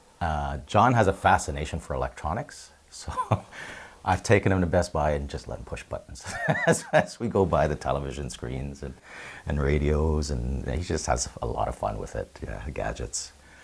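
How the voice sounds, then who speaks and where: With a Canadian accent, a man speaks at a moderate pace in a very deep, low pitch with lively intonation, and noticeable background noise is present. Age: 50s. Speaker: volunteer. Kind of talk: interview. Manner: casual, hesitant with fillers.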